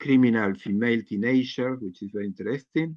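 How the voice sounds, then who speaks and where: With a non-native accent, a man talks at a fairly quick pace and ordinary pitch variation. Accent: non-native English accent, self-described. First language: not English. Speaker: healthcare worker and writer. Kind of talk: group video call discussion. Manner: halting.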